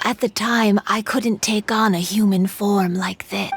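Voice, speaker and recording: A woman speaks at a fairly slow pace in a put-on character voice with a fairly high pitch. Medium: fan dub. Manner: timid.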